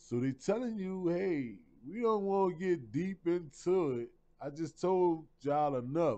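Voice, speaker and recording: A man with an American accent and a high pitch talks at a fairly slow pace in a dark, mellow tone. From New Orleans, Louisiana. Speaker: online lecturer / channel host. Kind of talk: lecture with reading aloud. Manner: casual, halting.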